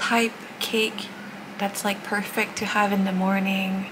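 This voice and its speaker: A soft-spoken woman at a fairly slow pace amid noticeable background noise. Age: 20s. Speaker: Twitch streamer. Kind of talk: casual vlog talk to camera. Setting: outdoors, street noise. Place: home room. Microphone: phone near.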